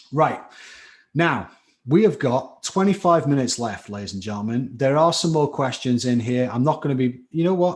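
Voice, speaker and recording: A man speaks with a slight Scouse accent and lively intonation at a fairly high pitch. The background is quiet. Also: moderate pace. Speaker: chemistry tutor. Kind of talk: live online lecture. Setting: live stream class. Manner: animated.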